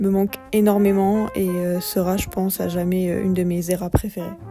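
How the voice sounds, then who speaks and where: Over music in the background, a woman speaks with fairly even intonation. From Bordeaux, France. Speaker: YouTuber. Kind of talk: personal vlog voice-over narration. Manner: cool, somewhat detached.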